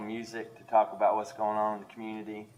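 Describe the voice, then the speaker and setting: A man speaks in a fairly low voice with an Appalachian accent. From East Tennessee (Kingsport). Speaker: college arts educator and novelist. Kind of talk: panel discussion.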